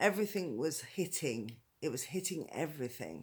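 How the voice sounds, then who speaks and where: On a very clean recording with a silent background, the speaker uses a British accent. The pace is moderate, with very wide pitch swings. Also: woman. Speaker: domestic violence survivor. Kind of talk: personal story told to camera. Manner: voice wobbles with emotion.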